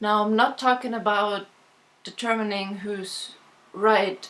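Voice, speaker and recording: A woman with a non-native accent speaks at a fairly slow pace in a fairly high pitch. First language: not English. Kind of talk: casual talk to camera.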